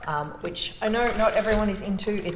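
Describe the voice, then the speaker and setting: Noticeable background noise is present. A woman talks through it at a moderate pace. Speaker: sewing teacher. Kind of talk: casual sewing tutorial talk to camera. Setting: echoey communal laundry.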